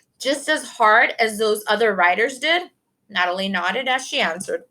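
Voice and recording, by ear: Quiet background, reading aloud in a natural voice.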